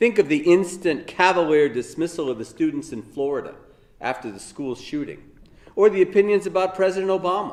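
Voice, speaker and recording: A man talks at a fairly quick pace in a high pitch, with lively intonation and an American accent. His loudness swings widely. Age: 60s. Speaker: law professor. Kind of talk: recorded lecture. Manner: formal.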